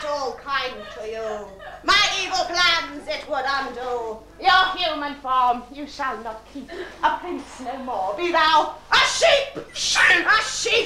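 A put-on, cackling character voice, female-sounding and high-pitched, at a fairly slow pace with slight echo and clear background noise. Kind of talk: pantomime villain overacting. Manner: cackling, menacing, gleeful.

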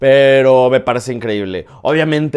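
A man at a moderate pace with a quiet background. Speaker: film reviewer YouTuber. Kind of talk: film review monologue. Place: home room. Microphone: lapel.

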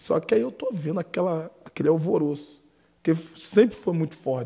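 Against a quiet background, a man with a Brazilian accent speaks in a dark, mellow tone, somewhat breathy, with lively intonation. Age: 20s. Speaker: podcast co-host and preacher. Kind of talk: casual interview. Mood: warm, reminiscing. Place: studio. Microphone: studio mic.

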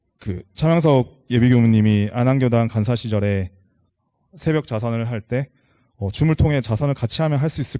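With a dark, mellow tone, a man speaks at a moderate pace and medium pitch, showing ordinary pitch variation over a quiet background. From South Korea, Changwon. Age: 30s. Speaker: lay member of a temple, office worker. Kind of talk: prepared talk to congregation. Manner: halting, many fillers.

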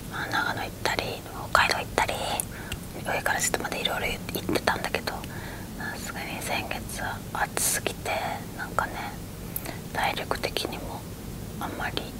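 Against loud background noise, a woman talks at a moderate pace with long, frequent pauses. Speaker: ASMR creator. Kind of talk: ASMR bedtime chat. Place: home room.

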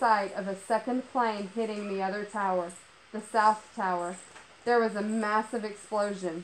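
Intonation stays fairly even in an unforced reading voice.

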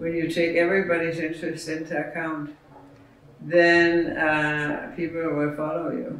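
There is light background noise and audible room echo. The speech moves at a fairly slow pace. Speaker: interviewee. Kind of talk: interview answer. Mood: thoughtful, hesitant. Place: home room.

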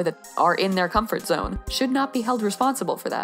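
Music plays in the background as a woman speaks. Her pace is fairly quick and her pitch variation ordinary. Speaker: artist commentator. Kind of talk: commentary. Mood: earnest, slightly exasperated.

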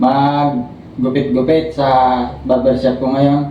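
Light background noise and audible room echo around a man speaking at a fairly slow pace. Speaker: stroke survivor and barber. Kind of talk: testimony. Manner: halting. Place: home room. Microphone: camera far.

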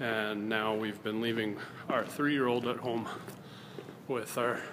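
Noticeable background noise accompanies a man talking at a moderate pace with fairly even intonation. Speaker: vlogger. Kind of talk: casual vlog chat. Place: hall. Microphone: phone near.

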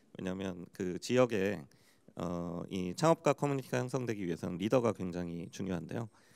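Over a quiet background, a man with a very deep, low pitch speaks at a fairly quick pace with lively intonation. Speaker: startup forum head; panelist. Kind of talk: panel discussion. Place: hall. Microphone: handheld.

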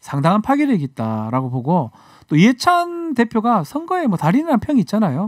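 A man talks fairly quickly, his pitch swinging very widely, over a quiet background. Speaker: lawyer and legal commentator. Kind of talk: radio current affairs chat. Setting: studio. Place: studio. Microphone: studio mic.

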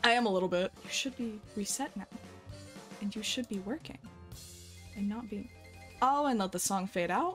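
Faint music plays in the background. A woman speaks at a moderate pace with ordinary pitch variation. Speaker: streamer. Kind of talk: casual stream chat and storytelling. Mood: relaxed, amused. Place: home room. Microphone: headset.

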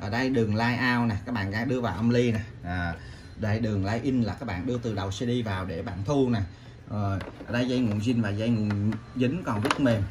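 A man speaks at a fairly quick pace with a fairly low pitch and ordinary pitch variation.

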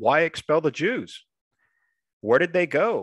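A man with an American accent talks at a moderate pace, with vocal fry and very wide pitch swings. The sound is dry with no echo, against a quiet background. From South Texas. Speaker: history professor. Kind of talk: lecture. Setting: video call. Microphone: video call.

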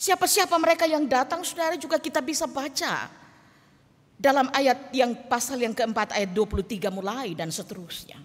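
Her voice high, a woman speaks at a moderate pace with very wide pitch swings. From Indonesia, Toraja (South Sulawesi). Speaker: pastor. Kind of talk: sermon. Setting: church. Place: church. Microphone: podium.

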